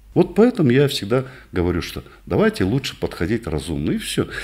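Against a quiet background, a man talks with very wide pitch swings and vocal fry. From northern Kazakhstan. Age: 60s. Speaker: physician; interviewee. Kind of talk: interview; exercise demonstration. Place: office. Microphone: studio mic.

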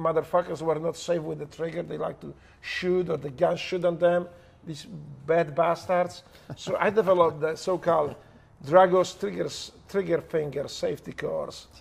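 A man with a Polish accent speaks at a high pitch and a moderate pace. His intonation is monotone and flat, with long, frequent pauses. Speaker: former special operations operator. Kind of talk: heavily profane, casual storytelling. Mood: humorous, animated. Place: home room.

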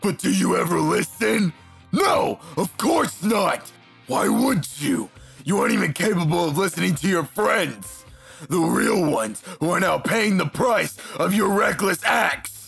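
With faint music in the background, a man uses a high-pitched, cartoonish character voice. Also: moderate pace. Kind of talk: fan comic dub acting. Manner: angry, scolding, bitter.

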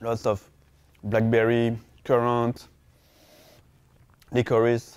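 A man speaks at a very slow pace in a monotone, flat intonation. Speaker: winemaker. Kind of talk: wine tasting description. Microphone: lapel.

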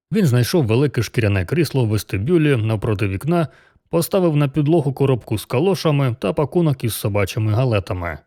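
The reading voice sounds unforced. Its intonation moves in a lively way.

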